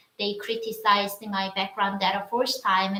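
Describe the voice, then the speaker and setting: A woman with a Korean accent speaks fairly slowly at a medium pitch in a flat monotone, with noticeable background noise. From North Korea, Wonsan. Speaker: North Korean defector. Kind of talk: casual chat. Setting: livestream. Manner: halting.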